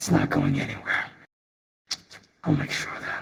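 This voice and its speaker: At a moderate pace, a man puts on a character voice with a fairly high pitch. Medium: actual play.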